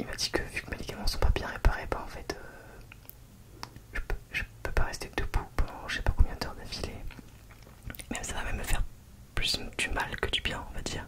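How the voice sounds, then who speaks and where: Over noticeable background noise, a woman whispers at a moderate pace, her loudness swinging widely. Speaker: ASMR content creator. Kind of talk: whispered ASMR storytime talking to the camera. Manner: whispered, soft-spoken.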